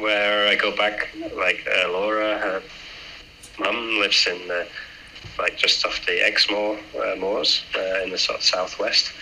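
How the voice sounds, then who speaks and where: Against noticeable background noise, a man with a northern English accent talks at a fairly slow pace with long, frequent pauses. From northern England. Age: 30s. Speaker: aerospace engineer and amateur triathlete. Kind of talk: casual interview.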